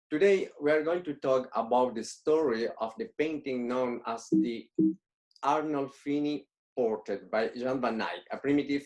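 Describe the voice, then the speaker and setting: A man speaks with a Spanish accent at a moderate pace. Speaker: painter and art teacher. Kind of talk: lecture.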